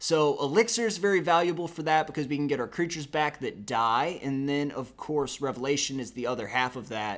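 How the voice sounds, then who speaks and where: Speech flows at a fairly quick pace with hardly any pauses and lively intonation, on a very clean recording with a silent background. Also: man, fairly high pitch for a man. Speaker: gaming YouTuber. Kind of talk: tutorial. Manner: casual, conversational; stumbling, self-correcting.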